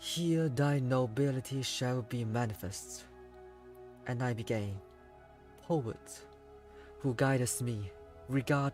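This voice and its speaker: Music plays behind a man speaking in a calm tone. His pace is very slow. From Hong Kong. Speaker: VTuber. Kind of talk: poetry reading. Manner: slow, calm.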